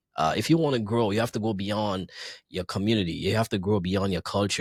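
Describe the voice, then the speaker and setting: In a Grenadian accent, a man with a fairly low voice talks at a very fast pace with ordinary pitch variation, on a very clean recording with a silent background. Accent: Caribbean (Grenadian). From Grenada. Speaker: DJ and entertainer. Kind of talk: casual interview.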